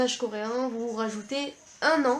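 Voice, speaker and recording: A woman talks at a fairly high pitch over noticeable background noise. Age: 20s. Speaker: vlogger, university student. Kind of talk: casual vlog talk to camera. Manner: hesitant, with many fillers.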